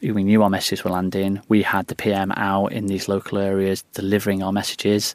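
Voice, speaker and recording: In a northern English accent, a man talks at a very fast pace. His fairly low voice stays monotone, with flat intonation. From northern England, West Lancashire. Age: 30s. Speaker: former government communications director. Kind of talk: interview. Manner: hesitant, with many fillers.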